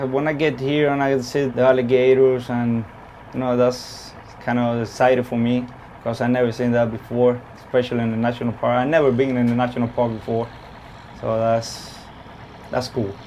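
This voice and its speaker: A man's medium-pitched, monotone voice with flat intonation at a fairly quick pace, against noticeable background noise. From Cuba. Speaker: tugboat driver. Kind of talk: casual interview. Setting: inside a tugboat.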